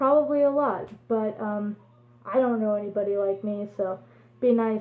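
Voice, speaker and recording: A woman's fairly high voice shows ordinary pitch variation and keeps to a moderate pace. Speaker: fursuiter vlogger. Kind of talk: casual vlog monologue. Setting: speaking to camera at home. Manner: halting. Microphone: no microphone, may be hard to hear.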